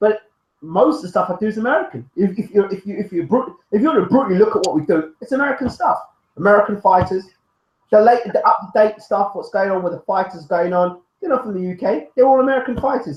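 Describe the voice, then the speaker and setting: The speaker has a British accent and lively intonation. The pace is very fast. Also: man, high pitch for a man. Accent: UK. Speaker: boxing YouTube show host. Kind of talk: casual chat. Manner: animated.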